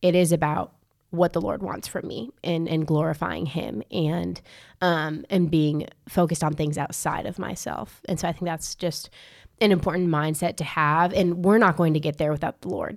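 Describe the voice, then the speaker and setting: A woman speaks at a moderate pace with a bubbly tone, vocal fry and ordinary pitch variation, on a very clean recording with a silent background. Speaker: college ministry podcast co-host. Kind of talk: casual chat and Bible discussion. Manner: bubbly, laughs a lot.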